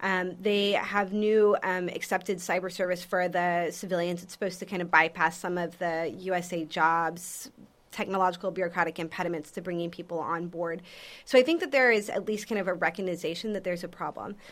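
Here a woman with an American accent speaks in an unremarkable speaking voice at medium pitch and a fairly quick pace. Her intonation is fairly even, and the recording is very clean with a silent background. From Texas, San Antonio. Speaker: defense researcher, Air Force veteran. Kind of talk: interview. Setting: on a university campus.

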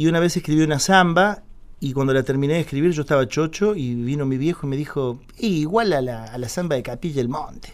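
Speaking at a fairly quick pace, a man uses a plain, everyday voice pitched fairly high, with ordinary pitch variation. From Córdoba city, Argentina, then Buenos Aires from age 8. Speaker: tango singer. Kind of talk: radio interview, casual chat. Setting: radio studio.

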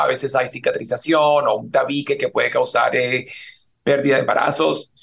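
A man speaks at a moderate pace in a fairly high pitch, with an unremarkable speaking voice. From Colombia (Cali). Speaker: fertility doctor. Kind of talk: interview, explaining medical topics.

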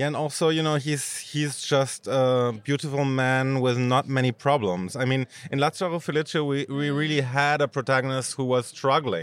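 A man talks with hardly any pauses and fairly even intonation over noticeable background noise. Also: fairly high pitch for a man, moderate pace. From Germany. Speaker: film critic. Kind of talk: casual chat. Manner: halting.

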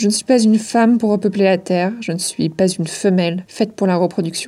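A woman speaks at a fairly quick pace. Her tone is dark and mellow, with ordinary pitch variation. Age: 30s. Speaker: podcast host. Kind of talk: scripted narration.

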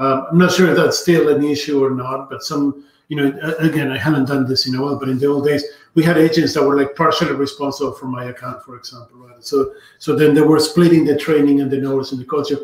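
A man with a Spanish accent speaks at a very fast pace and fairly high pitch. His intonation is flat and monotone, with big swings in loudness. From Argentina. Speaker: tech company evangelist. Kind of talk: casual live video conversation. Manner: halting, with restarts.

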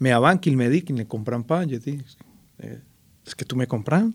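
This man talks at a moderate pace. His pitch sits in the medium range. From Colombia. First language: Spanish (speaking French). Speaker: artist and cultural mediator. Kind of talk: interview.

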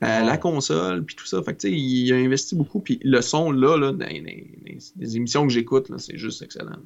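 Speaking at a fairly slow pace with hardly any pauses, a man makes very wide pitch swings and big swings in loudness. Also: medium pitch for a man. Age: 30s. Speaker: podcast host. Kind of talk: casual chat.

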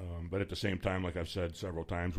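A man with a Midwestern US accent speaks at a very fast pace. His voice is booming and very deep, low in pitch. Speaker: radio host. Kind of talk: radio DJ patter, chatty live hosting with banter and station IDs. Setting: radio studio. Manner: relaxed, chatty, jokey, upbeat.

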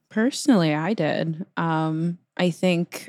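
The pitch varies in an ordinary way. It is an unremarkable speaking voice with a dry, close sound and no echo. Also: woman. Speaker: politics reporter. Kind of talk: casual chat. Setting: video call.

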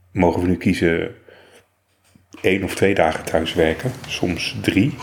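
A soft-spoken man at a very slow pace. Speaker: podcast host, blind ICT worker. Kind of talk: casual chat. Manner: normally loud.

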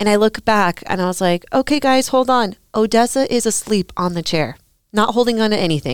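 A plain, everyday voice with an American accent, ordinary pitch variation and a moderate pace, dry and close with no echo on a very clean recording with a silent background. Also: woman. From Colorado. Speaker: podcast host. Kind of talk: casual interview chat.

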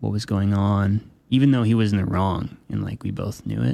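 A man's fairly low pitch and dark, mellow tone at a moderate pace. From military family, moved around; Flagstaff, Arizona. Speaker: electronic musician. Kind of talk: radio interview.

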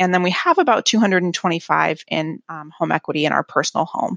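A woman's plain, everyday voice, fairly low in pitch, at a fairly quick pace. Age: 30s. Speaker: listener asking a question. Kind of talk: recorded voicemail question.

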